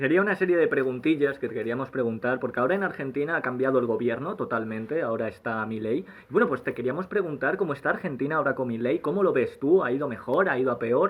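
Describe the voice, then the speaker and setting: A man talks with a Spanish accent at a very fast pace. His intonation is lively, and he hardly pauses. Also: medium pitch for a man. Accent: Peninsular Spanish. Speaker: podcast co-host. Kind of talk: casual interview chat.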